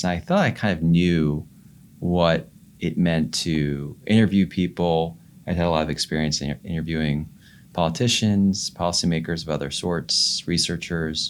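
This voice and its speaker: The speaker has a calm tone and a moderate pace. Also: man. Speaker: podcast host. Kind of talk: casual interview conversation. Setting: studio. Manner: calm and controlled; hesitant, many fillers.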